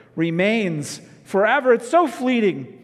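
A man talks in a high pitch with very wide pitch swings. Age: 40s. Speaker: pastor. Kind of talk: sermon. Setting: pre-recorded video.

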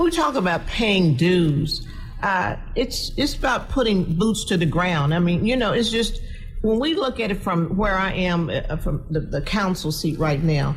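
A woman with an American accent, lively intonation, a fairly slow pace and very even loudness, over noticeable background noise. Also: medium pitch for a woman. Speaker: city council member. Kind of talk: radio panel discussion.

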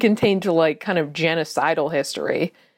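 A woman talks in a normal speaking voice, fairly low pitched, with ordinary pitch variation. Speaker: comedy podcast co-host. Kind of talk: casual chat.

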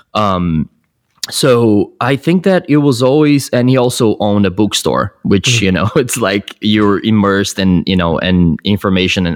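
In a Portuguese accent, a man with a fairly low pitch speaks at a moderate pace and very even loudness, the sound dry and close with no echo. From Brazil, São Paulo. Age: 30s. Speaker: film director. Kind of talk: casual interview chat. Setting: remote call.

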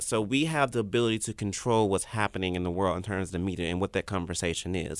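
Ordinary pitch variation from a man, on a very clean recording with a silent background. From Memphis, Tennessee. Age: 30s. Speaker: public relations manager. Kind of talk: interview. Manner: fast.

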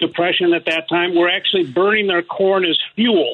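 A man with an American accent speaks at a high pitch. His pace is fairly quick and his intonation fairly even. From Detroit. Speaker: labor historian and author. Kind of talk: radio interview.

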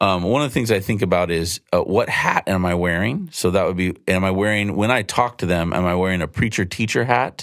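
A man's plain, everyday voice, fairly low in pitch, at a fairly quick pace with hardly any pauses and ordinary pitch variation. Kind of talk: casual conversation on faith.

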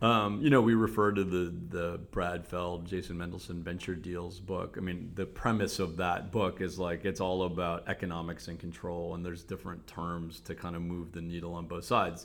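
A man with a Cleveland accent speaks in a very deep, low pitch at a moderate pace. His intonation is fairly even, and the recording is very clean with a silent background. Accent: Cleveland, general American. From Cleveland, Ohio. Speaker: business professor and venture capitalist. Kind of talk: casual interview.

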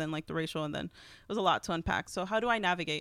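A woman talks at a very fast pace with an American accent and ordinary pitch variation. The recording is very clean, with a silent background. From Texas, Houston. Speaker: writer and zine artist. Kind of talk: casual interview.

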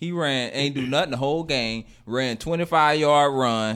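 A man with a Southern US accent speaks at medium pitch and a moderate pace, his tone animated with ordinary pitch variation. The recording is very clean with a silent background. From Florida. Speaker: podcast host. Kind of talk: casual chat. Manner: animated, pepped up.

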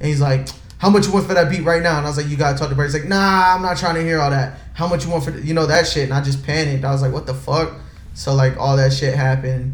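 Room echo is audible in this clip. A man speaks very fast. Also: fairly even intonation. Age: 20s. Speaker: music label executive. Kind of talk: casual interview chat.

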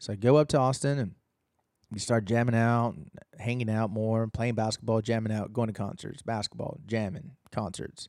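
Speaking with an American accent, a plain, everyday voice moves at a moderate pace with ordinary pitch variation. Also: man, medium pitch for a man. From Texas. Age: 30s. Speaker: musician. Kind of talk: casual chat.

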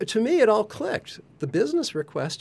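The man's pitch swings very widely. Vocal fry runs through his voice. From US, Colorado. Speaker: neurodiversity communication specialist. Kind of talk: casual chat. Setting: studio.

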